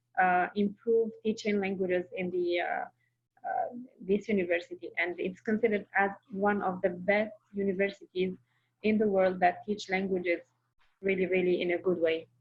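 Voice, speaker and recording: A woman speaks at a moderate pace with a medium pitch. Her voice is somewhat breathy, with monotone, flat intonation. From Algeria. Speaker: Arabic teaching assistant. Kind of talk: interview.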